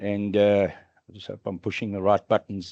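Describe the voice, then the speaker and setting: A man's voice comes through dry and close, with no echo and a quiet background. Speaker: conference speaker, AI industry executive. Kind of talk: conference talk. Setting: stage with audience. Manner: loud; animated.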